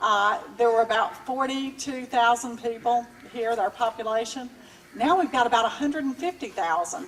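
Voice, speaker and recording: A woman with a Georgia accent speaks at a fairly slow pace in a high pitch. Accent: US Southern (Georgia). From Georgia, Cobb County. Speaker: political candidate. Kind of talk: campaign speech.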